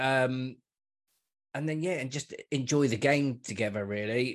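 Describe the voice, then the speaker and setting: Against a quiet background, a man talks at a fairly slow pace with a medium pitch and ordinary pitch variation. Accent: London. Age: 40s. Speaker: football podcaster. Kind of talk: casual chat.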